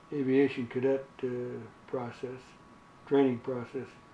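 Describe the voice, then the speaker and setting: Against noticeable background noise, a man at medium pitch speaks at a very slow pace in a monotone, flat intonation. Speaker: WWII fighter pilot veteran. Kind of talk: interview answer. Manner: hesitant, many filler words.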